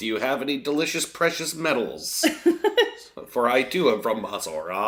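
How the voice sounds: A man performs a put-on character voice. He keeps a medium pitch and a moderate pace.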